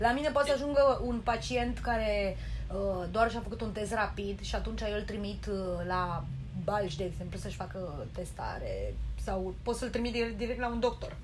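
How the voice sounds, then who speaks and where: Music plays behind the speaker, and the room echo is audible. The pace is moderate. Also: woman. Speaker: social worker and psychotherapist. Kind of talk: casual interview.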